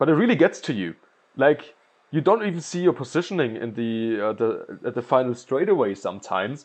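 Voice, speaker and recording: Against a quiet background, a man speaks with a strong German accent at a fairly quick pace. His pitch swings very widely. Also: medium pitch for a man. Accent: thick German. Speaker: gaming commentator and pro player. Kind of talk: gameplay commentary. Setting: recording voiceover while watching gameplay.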